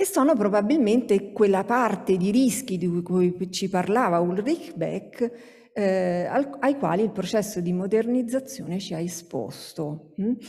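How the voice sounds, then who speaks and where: A woman with a medium pitch talks at a fairly slow pace with lively intonation against a quiet background. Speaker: sociologist, academic speaker; speaker. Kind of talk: conference talk. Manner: hesitant, many fillers. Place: hall. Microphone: podium.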